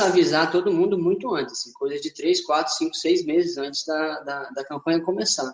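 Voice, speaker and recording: A man with a normal speaking voice talks at a moderate pace. His pitch varies in an ordinary way. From Linhares, Espírito Santo, Brazil. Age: 20s. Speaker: former city council candidate, engineer. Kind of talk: webinar panel discussion.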